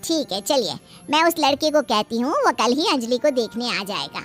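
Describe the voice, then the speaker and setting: A woman's high-pitched cartoonish character voice at a moderate pace, with clear music in the background. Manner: familiar, coaxing.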